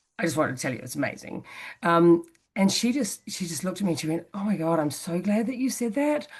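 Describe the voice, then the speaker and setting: Speaking very fast with a New Zealand accent, a woman uses a medium pitch, very wide pitch swings and a somewhat breathy voice. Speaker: interview guest, personal growth speaker. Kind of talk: casual interview conversation. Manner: hesitant, many fillers and restarts.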